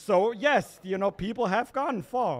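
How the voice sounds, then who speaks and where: This is a man talking. His pace is fairly slow. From Germany. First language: German. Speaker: open mic comedian, venue staff member. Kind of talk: stand-up. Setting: stage with audience.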